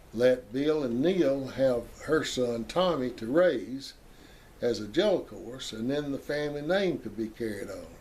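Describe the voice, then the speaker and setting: A man with a medium pitch and a Southern US accent, at a fairly slow pace. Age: 80s+. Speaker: family history storyteller. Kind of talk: oral history testimony. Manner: halting.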